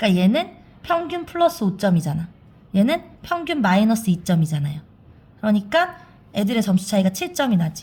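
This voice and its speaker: Somewhat breathy and medium in pitch, a woman talks at a fairly quick pace with very wide pitch swings and long, frequent pauses. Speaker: math teacher. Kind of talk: tutorial. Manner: fast.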